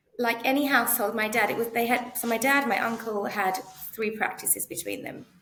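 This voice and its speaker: A woman with a London accent speaks at a fairly quick pace in a fairly high pitch with fairly even intonation. Noticeable background noise and audible room echo are present. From North East London, England. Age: 40s. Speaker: optometrist. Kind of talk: interview conversation. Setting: podcast.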